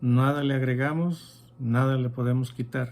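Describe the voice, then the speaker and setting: A man speaks at a very slow pace in a somewhat breathy voice with fairly even intonation. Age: 60s. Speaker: Bible study teacher. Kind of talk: Bible teaching.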